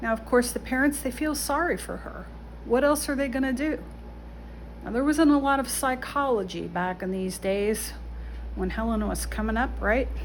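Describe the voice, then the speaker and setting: A woman talks at a moderate pace, and room echo is audible around her. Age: 60s. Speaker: vlogger giving life advice. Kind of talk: casual monologue. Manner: conversational, with fillers.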